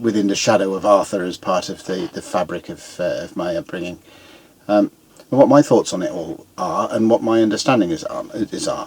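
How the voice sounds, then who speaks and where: Speaking fairly quickly with a British accent, a man swings widely in loudness. There is noticeable background noise. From Britain. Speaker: YouTuber, amateur historian. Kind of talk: casual monologue. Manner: halting, many fillers.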